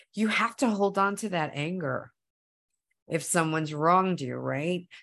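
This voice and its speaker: Speaking at a fairly slow pace, a woman uses an animated tone at medium pitch with ordinary pitch variation. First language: Spanish. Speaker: actor. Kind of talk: interview. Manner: halting.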